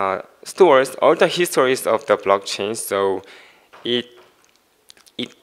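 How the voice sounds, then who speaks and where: The man's speech moves at a fairly slow pace. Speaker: conference presenter. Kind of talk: technical talk. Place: stage.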